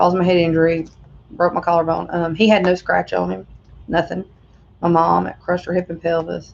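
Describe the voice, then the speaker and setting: A woman talks at a fairly quick pace with a Southern US accent. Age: 30s. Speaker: vlogger. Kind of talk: personal testimony. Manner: halting.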